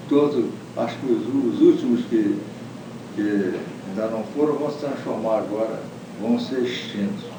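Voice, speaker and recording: Noticeable background noise behind a man's medium-pitched voice, moderate in pace and ordinary in pitch variation. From Brazil, Rio de Janeiro state. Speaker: retired judge. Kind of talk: interview answer.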